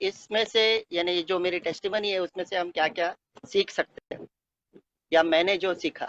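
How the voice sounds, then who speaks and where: A man with a Konkani accent and a high pitch speaks with fairly even intonation, recorded with a dry, close sound and no echo. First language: Konkani (speaking Hindi). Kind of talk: testimony. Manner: halting, many filler sounds.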